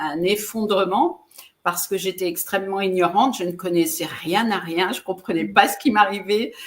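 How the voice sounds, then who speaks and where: Ordinary pitch variation in a woman's voice of medium pitch. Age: 60s. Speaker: relationship coach and speaker. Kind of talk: interview. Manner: halting, with repeated words and fillers.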